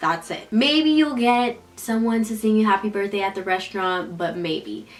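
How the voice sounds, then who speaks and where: Against noticeable background noise, a woman with an American accent speaks at a moderate pace in a medium pitch, her tone animated and her intonation lively. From United States. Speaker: YouTuber. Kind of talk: casual vlog monologue. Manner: quiet, hushed.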